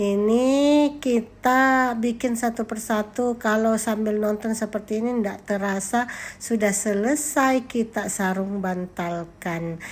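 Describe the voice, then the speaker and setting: Very slow and shrill, a woman speaks at a fairly high pitch. Her intonation stays fairly even. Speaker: vlogger, teacher and housewife. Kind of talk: vlog narration. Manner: casual, chatty.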